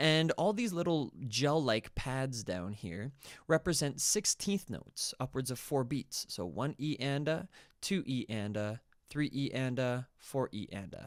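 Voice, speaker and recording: In a very clean recording with a silent background, a man talks fairly slowly at a medium pitch with lively intonation, in an unremarkable speaking voice. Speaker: music production tutor. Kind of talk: tutorial.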